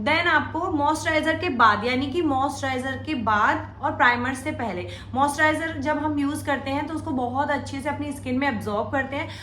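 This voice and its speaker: A woman speaks in a raised, projected voice at a high pitch, with fairly even intonation, a moderate pace and hardly any pauses. Noticeable background noise and audible room echo are present. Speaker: makeup tutorial youtuber. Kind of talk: tutorial.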